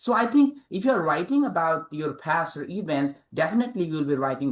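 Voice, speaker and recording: This speaker has a Nepali accent and a fairly quick pace. The pitch swings very widely. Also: man. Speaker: author and English professor. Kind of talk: interview. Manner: halting, many fillers.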